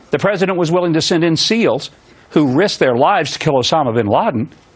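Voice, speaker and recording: A man with an unremarkable speaking voice talks at a fairly quick pace, his pitch fairly high and his intonation lively. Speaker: TV talk show host. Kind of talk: opening monologue on a political commentary show. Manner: earnest, indignant.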